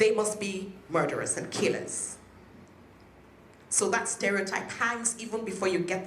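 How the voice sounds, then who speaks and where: With a Nigerian accent, a woman speaks at medium pitch, with ordinary pitch variation and a fairly slow pace. Noticeable background noise and audible room echo are present. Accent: Nigerian (Yoruba) English. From western Nigeria. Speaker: politician, local councillor. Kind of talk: public speech. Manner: animated.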